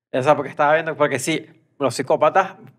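Against a quiet background, a man speaks at a fairly high pitch. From Venezuela. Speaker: comedy podcast co-host. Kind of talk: casual chat. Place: studio. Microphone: studio mic.

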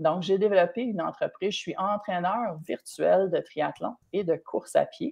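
A woman's somewhat breathy voice at medium pitch, fairly slow with hardly any pauses and ordinary pitch variation, over a quiet background. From Quebec. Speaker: triathlon and running coach, entrepreneur; running coach. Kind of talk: live-streamed interview. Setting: live stream video call. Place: home room. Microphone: video call.

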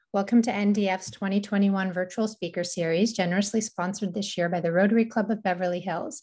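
A woman at a fairly quick pace, with fairly even intonation and a quiet background. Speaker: organization host introducing a speaker. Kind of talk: event introduction. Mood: warm, grateful. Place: home room. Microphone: webcam.

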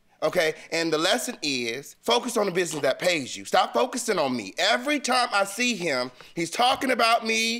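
A man's raised, projected voice, high in pitch, bright and sharp, animated with very wide pitch swings at a moderate pace against a quiet background. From US West Coast. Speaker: plaintiff in a TV court case. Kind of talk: heated debate. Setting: studio. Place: stage.

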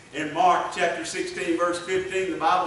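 A man's high-pitched voice, with light background noise and audible room echo. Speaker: revival preacher. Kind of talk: impassioned revival sermon building to an altar call. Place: church.

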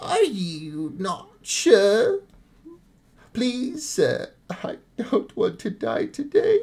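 This is a put-on character voice with a high pitch. The pace is very slow. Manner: pleading, frightened.

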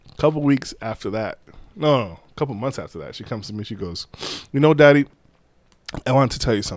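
A man talks at a very fast pace with lively intonation and big swings in loudness, breaking into long, frequent pauses, the sound dry with no echo. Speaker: podcast co-host. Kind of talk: casual chat. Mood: joking, laughing storytelling. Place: studio. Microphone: studio mic.

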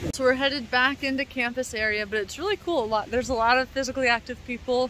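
Her pitch high and her pace very fast, a woman speaks with ordinary pitch variation in a dry sound with no echo, over light background noise. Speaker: travel vlogger. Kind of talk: casual vlog chat. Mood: cheerful, laughing. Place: waterside. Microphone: phone near.

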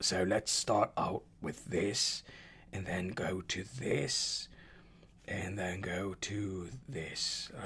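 There is a somewhat breathy quality to this man's voice. His pitch sits fairly low. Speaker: music tech youtuber. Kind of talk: tutorial. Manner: casual, hesitant.

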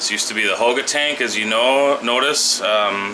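Noticeable background noise sits behind a man talking. He keeps a moderate pace with ordinary pitch variation. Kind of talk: casual tour commentary. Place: home room. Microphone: phone near.

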